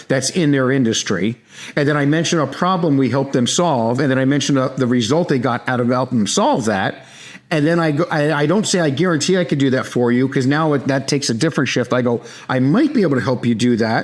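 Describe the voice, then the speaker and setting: Very fast and at a very even loudness, a man talks in a New York accent with a medium pitch and ordinary pitch variation. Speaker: sales trainer, company founder. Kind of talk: podcast interview. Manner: direct.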